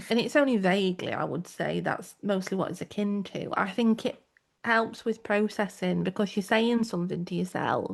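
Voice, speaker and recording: Her pitch is medium, with ordinary variation. The woman keeps a moderate pace. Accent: strong South Yorkshire. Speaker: podcast co-host. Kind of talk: casual chat.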